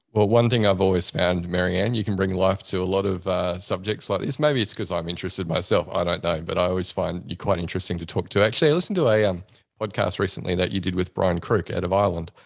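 In an Australian accent, the speaker talks at a very fast pace with hardly any pauses and ordinary pitch variation. The background is quiet. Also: man, very deep, low pitch for a man. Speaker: psychologist and podcast host. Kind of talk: casual interview chat.

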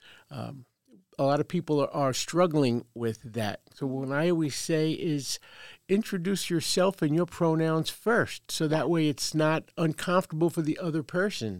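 Speaking with a New York accent, a woman has a very deep, low pitch with ordinary pitch variation at a moderate pace. The recording is very clean with a silent background and a dry, close sound with no echo. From US Northeast, Brooklyn, New York. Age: 70s. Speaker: veteran and transgender advocate. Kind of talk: interview. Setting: makeshift studio.

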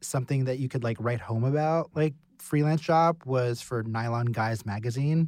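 An American accent marks this man's unremarkable speaking voice, medium in pitch with ordinary pitch variation. He talks at a moderate pace in a very clean recording with a silent background. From Pennsylvania (partly Texas). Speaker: illustrator. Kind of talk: casual roundtable discussion. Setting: studio.

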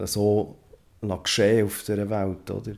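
Low-pitched for a man, this voice has a dark, mellow tone and a monotone, flat intonation. The recording is very clean, with a silent background. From Switzerland, Bern. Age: 40s. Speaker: former Jehovah's Witness. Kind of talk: personal testimony. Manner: halting.

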